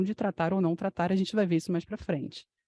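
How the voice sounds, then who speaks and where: Very fast and somewhat breathy, a woman speaks with a dark, mellow tone in a dry, close sound with no echo and a quiet background. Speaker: physician lecturer. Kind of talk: medical lecture.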